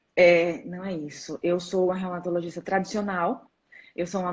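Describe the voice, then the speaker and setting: At a moderate pace, a woman with a São Paulo accent talks in a fairly low pitch. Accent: São Paulo accent, noticeable. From São Paulo state, Brazil. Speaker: rheumatologist. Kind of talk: live-stream interview. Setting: live stream on social media.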